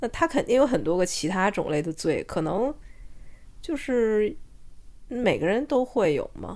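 A woman's voice has vocal fry, very wide pitch swings and long, frequent pauses. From China. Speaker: podcast co-host. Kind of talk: casual chat. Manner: halting, many fillers and restarts.

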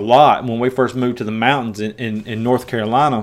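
A man talks with a strong Tennessee accent. His pace is fairly quick. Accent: strong rural Southern (Tennessee). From US South, West Tennessee. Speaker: preacher and podcast host. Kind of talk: Bible teaching. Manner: halting, many fillers and repeats.

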